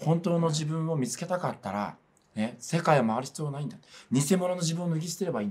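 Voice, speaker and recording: A man talks at a very fast pace. His intonation is lively. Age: 40s. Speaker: religious organization PR staffer; religious organisation spokesman. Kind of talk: interview. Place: studio.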